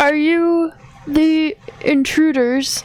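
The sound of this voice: A put-on character voice is pitched high.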